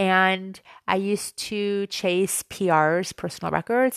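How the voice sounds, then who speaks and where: A woman speaks in a plain, everyday voice at a medium pitch, with fairly even intonation. The sound is dry and close with no echo, over a quiet background. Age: 40s. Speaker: podcaster and amateur runner. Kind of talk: casual monologue.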